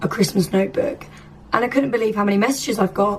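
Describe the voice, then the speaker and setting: The speaker is a woman. She has a British accent. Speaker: lifestyle vlogger. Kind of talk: casual vlog talk. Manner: chatty.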